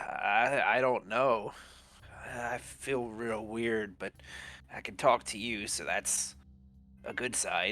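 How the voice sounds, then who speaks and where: A man speaks in a put-on character voice at a medium pitch. His pace is very slow, with long, frequent pauses. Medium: actual play.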